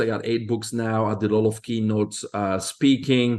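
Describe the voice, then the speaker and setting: A man talks at a moderate pace with a medium-pitched voice. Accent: Belgian. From Belgium. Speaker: health expert. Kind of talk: interview.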